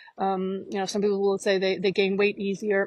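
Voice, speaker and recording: A woman's voice comes through dry, with no echo. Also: quiet background. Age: 50s. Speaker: life coach. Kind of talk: monologue to camera. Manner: halting. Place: forest. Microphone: earbuds.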